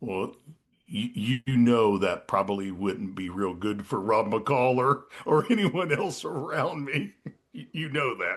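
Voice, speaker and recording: A man speaks at a very slow pace and a medium pitch, his voice making very wide pitch swings. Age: 50s. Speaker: retired police detective. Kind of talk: casual interview chat. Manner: halting, many repetitions.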